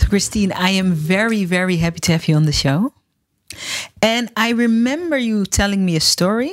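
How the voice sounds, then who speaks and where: A woman with a Dutch accent speaks at a moderate pace in a medium pitch, with lively intonation. Her loudness stays very even on a very clean recording with a silent background. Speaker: podcast host, storytelling coach for entrepreneurs. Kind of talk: interview.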